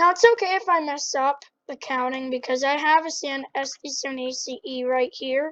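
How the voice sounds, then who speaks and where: The loudness swings widely while the pitch varies in an ordinary way. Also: woman, high pitch for a woman, moderate pace. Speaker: Minecraft tutorial youtuber. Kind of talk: tutorial.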